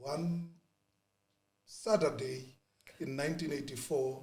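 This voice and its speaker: A somewhat breathy man with ordinary pitch variation. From South Africa, township in Springs, Gauteng. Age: 40s. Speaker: former youth political activist. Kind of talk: podcast interview. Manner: hesitant, many fillers and repetitions.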